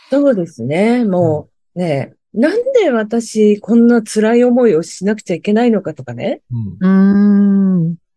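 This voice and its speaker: Lively in intonation, a woman speaks at a medium pitch and fairly slow pace with a dark, mellow tone. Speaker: HR strategy consultant. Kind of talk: interview testimony.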